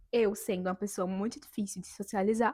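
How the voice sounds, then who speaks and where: A woman speaks at a moderate pace in a dark, mellow tone with ordinary pitch variation, the sound dry and close with no echo. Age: 20s. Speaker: vlogger. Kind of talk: personal testimony vlog.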